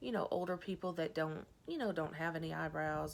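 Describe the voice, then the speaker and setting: Here is a woman speaking. She is soft-spoken. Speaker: vlogger. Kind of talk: casual chat. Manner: hesitant, many fillers.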